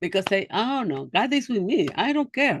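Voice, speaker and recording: The speaker has a Spanish accent and very wide pitch swings. The background is quiet. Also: woman. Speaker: human rights educator. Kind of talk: online seminar lecture. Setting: video call. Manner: halting.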